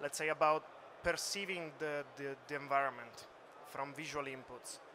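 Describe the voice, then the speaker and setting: A man with an Italian accent speaks in a monotone, flat intonation. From Italy. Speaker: computer vision researcher. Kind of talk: conference talk. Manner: hesitant, many fillers.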